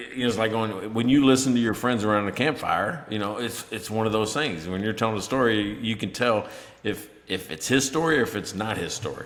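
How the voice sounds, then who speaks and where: A man with an American accent speaks at medium pitch with ordinary pitch variation and hardly any pauses. Noticeable background noise is present. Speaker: podcast co-host. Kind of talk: casual chat.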